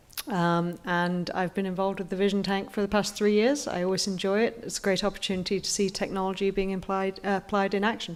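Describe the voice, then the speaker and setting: Speaking very fast with an English accent, a woman keeps fairly even intonation and hardly any pauses. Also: medium pitch for a woman. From England. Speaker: competition judge. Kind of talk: self-introduction on stage. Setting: stage with audience. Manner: hesitant, many fillers.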